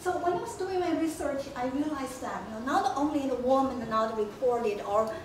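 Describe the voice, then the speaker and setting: Speaking fairly quickly in a high pitch, a woman with a Chinese accent is heard with audible room echo and noticeable background noise. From China. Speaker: history professor. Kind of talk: lecture. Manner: halting.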